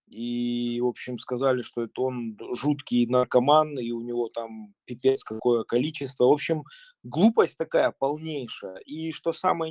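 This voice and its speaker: A man speaks at a moderate pace with ordinary pitch variation in a plain, everyday voice, the sound dry and close with no echo. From Russia. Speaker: urban farmer. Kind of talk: group discussion.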